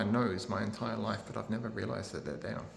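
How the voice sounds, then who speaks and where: Room echo is audible and background noise is noticeable. Through it, a man speaks softly. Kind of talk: live vlog. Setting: indoor community place, then outdoors. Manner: halting; soft-spoken.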